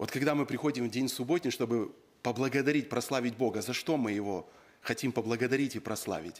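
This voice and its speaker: Ordinary pitch variation at a moderate pace. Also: man. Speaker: preacher. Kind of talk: sermon. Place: church. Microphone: podium.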